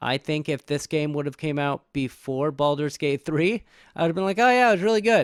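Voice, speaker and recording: With lively intonation and a fairly high pitch, a man speaks at a moderate pace in a dry, close recording with no echo. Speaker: podcast host. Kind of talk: casual chat.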